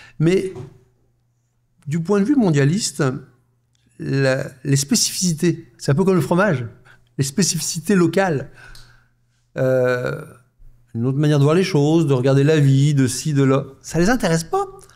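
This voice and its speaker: A man with a dark, mellow tone speaks at a moderate pace and fairly high pitch, with ordinary pitch variation and very even loudness. He takes long, frequent pauses, and the room echo is audible. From France. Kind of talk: live panel discussion. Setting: stage with live audience.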